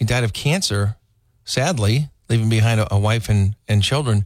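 This man has an American accent. There is a somewhat breathy quality to how he speaks. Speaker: talk radio host. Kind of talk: talk radio monologue and call-in. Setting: studio.

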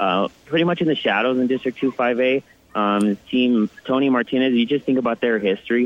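Speaking fairly quickly, a man with a plain, everyday voice keeps a medium pitch, ordinary pitch variation and very even loudness. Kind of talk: live radio field report on a playoff game. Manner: quick, informal, stat-rich with fillers.

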